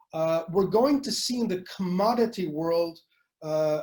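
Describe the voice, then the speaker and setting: With a French accent and lively intonation, a man speaks in a high voice at a fairly slow pace. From Canada. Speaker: futurist speaker. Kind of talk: webinar presentation. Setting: online webinar. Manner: hesitant, many fillers.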